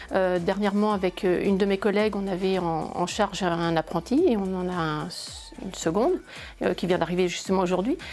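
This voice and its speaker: At a moderate pace, a woman talks. Her intonation stays fairly even. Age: 50s. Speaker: accountant. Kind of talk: interview. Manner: hesitant, many fillers and repetitions.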